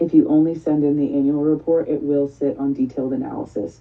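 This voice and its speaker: A woman's voice sits very deep and low. She speaks at a fairly quick pace. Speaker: funding program officer. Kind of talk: online presentation / training session. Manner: fast.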